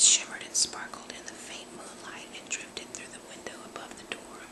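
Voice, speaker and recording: Noticeable background noise behind a woman's whisper. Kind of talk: book reading. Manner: whispered; soft-spoken.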